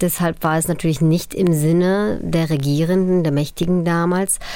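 Fairly low, dark and mellow tones from a woman, with ordinary pitch variation. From Upper Silesia, Poland. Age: 40s. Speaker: documentary filmmaker and journalist. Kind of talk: interview. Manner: hesitant with many fillers.

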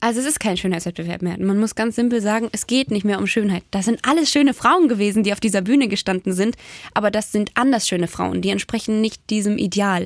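Speaking at a very fast pace with ordinary pitch variation, a woman is heard in a dry, close sound with no echo. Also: medium pitch for a woman. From Baden-Württemberg, near Ravensburg. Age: 20s. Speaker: beauty pageant winner and youth worker. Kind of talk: casual radio interview. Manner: fast, gushing.

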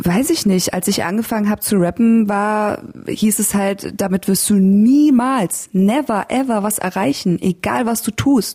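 A woman speaks very slowly at a medium pitch, her somewhat breathy voice dark and mellow in tone, with ordinary pitch variation. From Lower Bavaria, Germany (Landshut). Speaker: podcast host and rapper. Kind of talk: casual interview.

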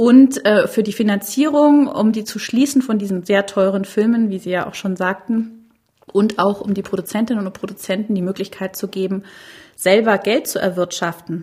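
Dark and mellow in tone, a woman's somewhat breathy voice sits at a medium pitch, moving at a moderate pace with ordinary pitch variation. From Bavaria. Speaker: TV fiction executive. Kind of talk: interview.

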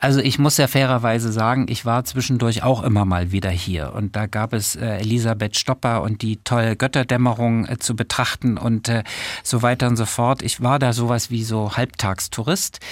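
Fairly even intonation comes at a moderate pace on a very clean recording with a silent background and a dry, close sound with no echo. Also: man, medium pitch for a man. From Saxony, Germany (Döbeln). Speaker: cultural manager. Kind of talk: interview. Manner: hesitant, many fillers.

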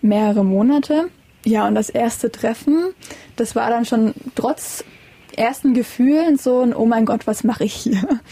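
A woman speaks at a fairly slow pace, leaving long, frequent pauses. Her loudness stays very even, and her pitch varies in an ordinary way. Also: fairly high pitch for a woman. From Saxony, Vogtland. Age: young. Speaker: interviewee, young wife. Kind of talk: interview. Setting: in a caravan.

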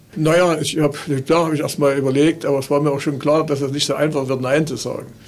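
Very fast speech in a monotone, flat delivery comes over noticeable background noise. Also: man. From Saxony, Limbach-Oberfrohna. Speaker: retired zoo veterinarian. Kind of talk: interview. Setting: zoo school room.

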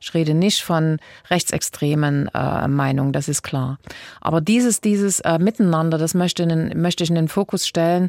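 With an ordinary speaking voice, a woman talks at a fairly low pitch and a moderate pace with ordinary pitch variation, the sound dry and close with no echo. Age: 60s. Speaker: state politician. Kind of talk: interview.

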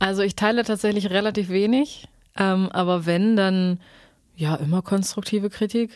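Her moderate pace, medium pitch, fairly even intonation and very even loudness mark this woman's plain, everyday voice. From Saxony-Anhalt, Germany (Staßfurt). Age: 20s. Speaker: singer-songwriter. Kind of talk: casual interview chat.

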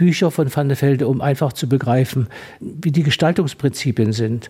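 This man's voice is somewhat breathy, with a dark, mellow tone, a fairly high pitch and a moderate pace. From Thuringia, Gera. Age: 80s+. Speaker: doctor and museum founder. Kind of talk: radio interview. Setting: on location in historic villa.

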